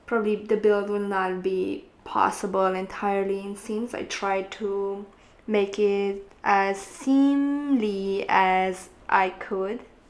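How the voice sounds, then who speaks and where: A woman's medium-pitched voice with fairly even intonation and a Romanian accent. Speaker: gaming YouTuber and makeup artist. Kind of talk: gameplay commentary. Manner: hesitant, with many fillers.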